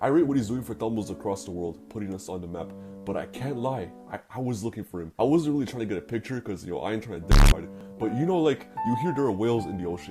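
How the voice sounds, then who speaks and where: With music in the background, a man with a fairly low pitch talks very fast, his pitch swinging very widely. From Toronto, Canada. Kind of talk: animated storytime narration. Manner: casual, comedic.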